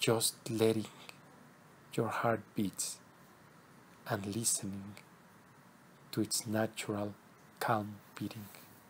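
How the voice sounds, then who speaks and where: A man speaks very slowly in a somewhat breathy, soothing voice at a fairly low pitch, his flat, monotone intonation broken by long, frequent pauses. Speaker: spiritual teacher leading meditations. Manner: slow, soothing, hushed delivery with long pauses between instructions; incantatory, circling back to repeated words like path, heart and horizon.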